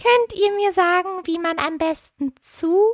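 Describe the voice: A woman puts on a character voice at an extremely high pitch, going at a fairly slow pace, in a dry, close sound with no echo.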